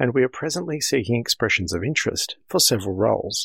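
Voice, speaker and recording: A man with an Australian accent, fairly quick and somewhat breathy, with very wide pitch swings, in a dry, close sound with no echo on a very clean recording over a silent background. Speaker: amateur radio association director. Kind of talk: scripted news segment.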